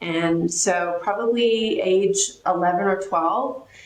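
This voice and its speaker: Noticeable background noise and audible room echo around a woman talking. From Australia. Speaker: financial advisory executive. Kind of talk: interview.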